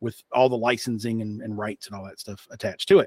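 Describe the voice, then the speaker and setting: Speaking at a fairly quick pace with a slight Appalachian accent, a man comes through dry and close with no echo on a very clean recording against a silent background. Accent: slight Appalachian twang. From Eastern Kentucky / West Virginia (Appalachia). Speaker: marketing executive and podcast host. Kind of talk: interview.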